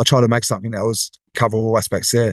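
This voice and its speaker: This man speaks at a very fast pace with an Australian accent, his sound dry and close with no echo against a quiet background. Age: 40s. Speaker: athletic development coach. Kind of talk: casual interview.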